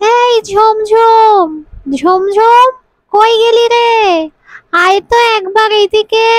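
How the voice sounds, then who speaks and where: This cartoonish character voice has an extremely high pitch and moves at a fairly slow pace. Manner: playful, quick-witted.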